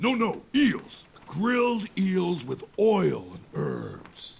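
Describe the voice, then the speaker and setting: The man puts on a character voice, pitched high and delivered at a very slow pace. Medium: video game. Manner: playful, good-humoured.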